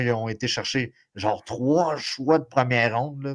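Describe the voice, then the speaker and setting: A man with a Quebec accent at medium pitch and a fairly slow pace. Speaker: sports podcast co-host. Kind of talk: casual podcast chat. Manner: animated.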